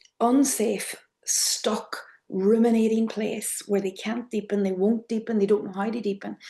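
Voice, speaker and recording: A woman with an Irish accent and monotone, flat intonation. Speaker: trauma therapy trainer, method founder. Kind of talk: online workshop lecture. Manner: soft, clear.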